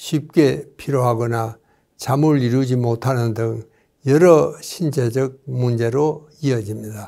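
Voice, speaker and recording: At a very slow pace, a man with a medium pitch and a dark, mellow tone speaks with ordinary pitch variation. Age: 90s. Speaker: doctor. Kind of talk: lecture.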